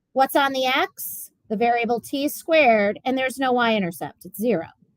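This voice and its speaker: Against a quiet background with a dry sound and no echo, a woman speaks at a high pitch with lively intonation. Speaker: physics teacher. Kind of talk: classroom lecture. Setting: classroom. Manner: fast.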